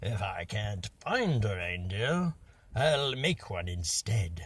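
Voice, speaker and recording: Putting on a character voice, a man growls in a raspy, fairly low pitch at a very slow pace, with very wide pitch swings. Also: very clean recording, silent background. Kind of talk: bedtime story character voice. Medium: read story. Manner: growling, sly, scheming.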